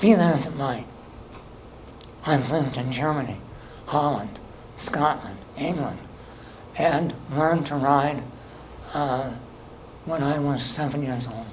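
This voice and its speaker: Talking fairly slowly with long, frequent pauses, a man with an American accent is heard through audible room echo and noticeable background noise. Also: fairly high pitch for a man, ordinary pitch variation. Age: 70s. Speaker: resident speaking at public comment. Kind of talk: public comment at town meeting. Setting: public town board meeting.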